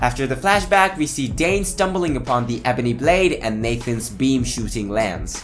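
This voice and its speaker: With music in the background, a man talks at a medium pitch that swings very widely. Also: moderate pace. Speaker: comics video narrator. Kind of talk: comic origin story narration.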